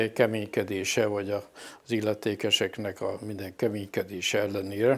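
This man's voice sits fairly low and moves at a moderate pace. His intonation stays monotone and flat. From Hungary, Kapuvár (Sopron county); Hungary. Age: 70s. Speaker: parish priest. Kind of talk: interview. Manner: halting. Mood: reflective, calm.

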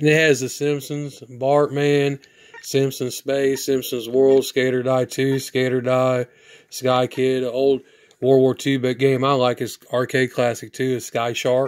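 A man speaks at a fairly slow pace, his medium-pitched voice monotone with flat intonation.

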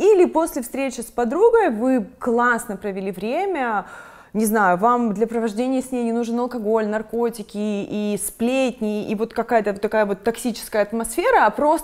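Against a quiet background, a woman speaks at a moderate pace. Her pitch is fairly high, with ordinary variation. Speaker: video blogger and interviewer. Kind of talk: casual interview. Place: studio. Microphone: lapel.

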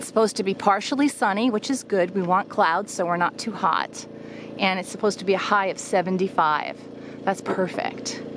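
A woman at a fairly quick pace, ordinary pitch variation, noticeable background noise and a dry sound with no echo. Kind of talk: casual vlog chat. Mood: upbeat, excited. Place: open country. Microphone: phone near.

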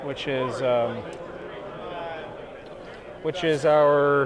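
A man speaks at a very slow pace with fairly even intonation over faint background noise. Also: medium pitch for a man.

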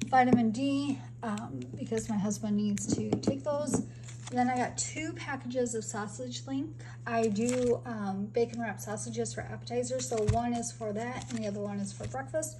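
Noticeable background noise beneath a moderate pace. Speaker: home vlogger. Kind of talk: casual vlog chat. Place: home room. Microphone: phone near.

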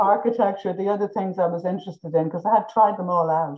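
Set against a quiet background, the voice carries a southeastern Irish accent. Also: woman. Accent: south-east Irish. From Ireland, Carrick-on-Suir (south-east); Ireland. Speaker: visual artist; guest. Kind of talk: interview. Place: home room. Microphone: video call.

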